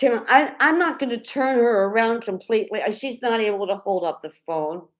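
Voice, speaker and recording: A woman with a fairly high pitch uses lively intonation in a plain, everyday voice. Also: moderate pace. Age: 50s. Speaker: clown and mime performer. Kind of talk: live stream chat.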